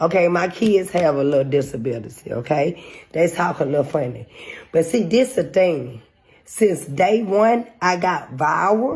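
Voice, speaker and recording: A somewhat breathy woman's voice, fairly low in pitch, with very wide pitch swings and a fairly slow pace. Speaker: social media personality. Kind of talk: rant video. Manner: heated, confrontational.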